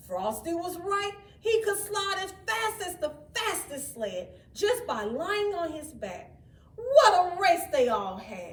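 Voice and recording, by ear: A woman speaks slowly at an extremely high pitch, her voice making big pitch swings, with audible room echo around her.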